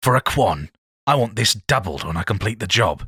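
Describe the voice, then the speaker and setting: Using a put-on character voice, a man with a fairly low, raspy pitch and lively intonation speaks at a moderate pace in a dry, close sound with no echo. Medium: read story. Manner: hesitant.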